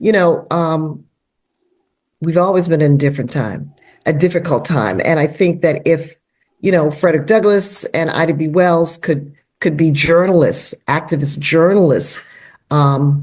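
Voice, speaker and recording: A woman with an American accent speaks in a normal speaking voice at fairly low pitch, with ordinary pitch variation and a moderate pace. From US, Washington, D.C. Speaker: novelist. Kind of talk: podcast interview.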